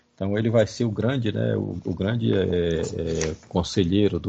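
A man's very deep, low voice with lively intonation, vocal fry and a moderate pace. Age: 50s. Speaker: professor. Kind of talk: lecture-style interview. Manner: halting, many fillers.

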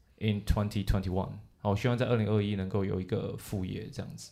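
A man with a normal speaking voice talks at a fairly quick pace and a fairly low pitch. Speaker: English teacher podcast host. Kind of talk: casual bilingual chat.

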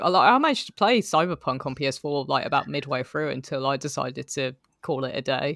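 Fairly quick delivery on a very clean recording with a silent background. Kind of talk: casual chat.

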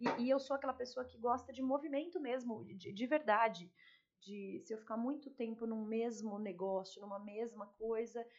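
A woman's normal speaking voice, fairly high in pitch, with ordinary pitch variation and a moderate pace. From São Paulo. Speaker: lawyer turned fashion store owner and mentor. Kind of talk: casual interview.

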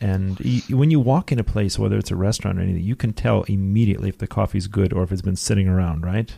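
An American man talks at a very fast pace with hardly any pauses, in a very deep, low voice with a dark, mellow tone. The recording is very clean, with a silent background. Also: ordinary pitch variation. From US, Detroit. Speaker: radio host. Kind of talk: radio interview. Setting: studio.

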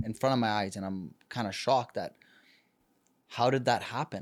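A man speaks with a Canadian accent at a medium pitch. His pace is fairly quick, with ordinary pitch variation. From Canada. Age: 30s. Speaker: podcast host and performer. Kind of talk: casual chat. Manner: animated.

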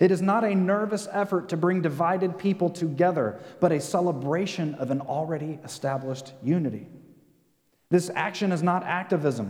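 A man speaks in a high pitch, varying it in an ordinary way. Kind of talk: sermon. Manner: earnest, rallying call-and-response cadence.

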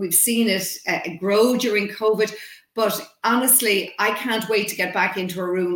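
With an Irish accent, a woman speaks at a moderate pace and medium pitch with ordinary pitch variation, against noticeable background noise. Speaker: communications trainer and consultant. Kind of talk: interview.

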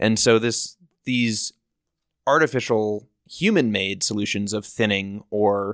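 An unremarkable speaking voice from a man at medium pitch, in a dry, close sound with no echo. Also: very clean recording, silent background. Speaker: podcast host and nonprofit founder. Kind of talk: casual interview. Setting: in person in Sun Valley, Idaho.

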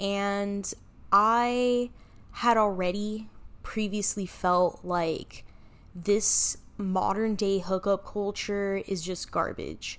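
Her medium-pitched voice flat and monotone, a woman talks at a very slow pace. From Miami, Florida. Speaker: podcast host. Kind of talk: solo podcast monologue. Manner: casual, conversational with laughs.

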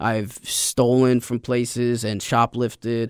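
His voice sits at a medium pitch. The intonation stays monotone and flat. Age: 30s. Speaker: podcast host sharing recovery story. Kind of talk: interview testimony.

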